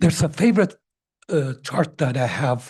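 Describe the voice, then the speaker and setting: A man's somewhat breathy voice, dark and mellow in tone, at a moderate pace over a quiet background. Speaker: public commenter at council meeting. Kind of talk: public comment.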